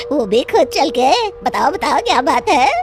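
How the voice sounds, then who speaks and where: A female-sounding cartoonish character voice talks at a moderate pace with a high pitch and very wide pitch swings. Clear music plays in the background. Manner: cackling, mocking.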